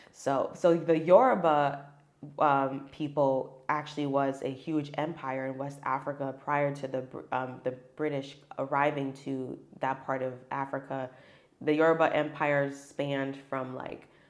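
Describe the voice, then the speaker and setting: Speaking fairly slowly, a woman with an American accent has a very deep, low voice. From US, Nigerian immigrant family. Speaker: mother, podcast guest. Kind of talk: casual chat.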